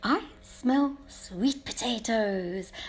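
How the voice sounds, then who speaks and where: A woman puts on a high-pitched character voice. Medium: read story. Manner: eager, excitable.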